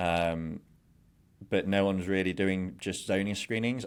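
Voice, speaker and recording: A man with an English accent speaks at a very deep, low pitch in a monotone, flat delivery. The recording is very clean, with a silent background. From England. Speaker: glamping business founder. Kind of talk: interview. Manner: halting with repetitions; fast.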